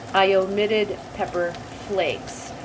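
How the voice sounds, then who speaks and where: A woman speaks with a New Jersey accent. Background noise is noticeable. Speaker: home cooking video host. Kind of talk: cooking tutorial. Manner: casual, chatty.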